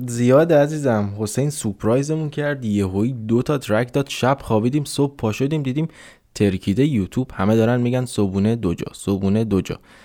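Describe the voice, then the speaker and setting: Speaking at a moderate pace, a man with a medium pitch and a dark, mellow tone shows ordinary pitch variation on a very clean recording with a silent background. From Iran, Mashhad. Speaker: podcast co-host. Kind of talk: casual chat.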